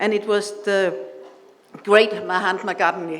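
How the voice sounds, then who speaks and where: A woman with a Danish accent speaks at medium pitch with fairly even intonation. Noticeable background noise and audible room echo are present. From Denmark. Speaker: invited speaker at awards ceremony. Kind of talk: speech. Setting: stage with audience. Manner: halting.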